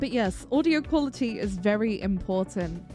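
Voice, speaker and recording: Over music in the background, a woman talks at a moderate pace in a fairly high voice. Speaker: VTuber streamer. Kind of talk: casual Q&A livestream. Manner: loud.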